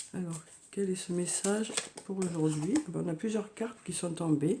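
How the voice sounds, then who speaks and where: At a moderate pace, a woman talks in a dark, mellow, somewhat breathy voice. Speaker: tarot card reader. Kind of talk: oracle card reading. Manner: halting, many fillers.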